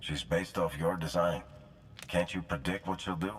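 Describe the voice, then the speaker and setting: A man uses a put-on character voice with a very deep, low pitch at a moderate pace. Clear background noise runs underneath. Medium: video game.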